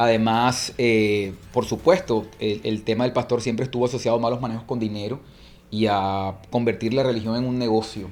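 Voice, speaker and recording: Medium-pitched man with a Colombian accent, fairly even intonation and a moderate pace. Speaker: church movement leader. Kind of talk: interview conversation.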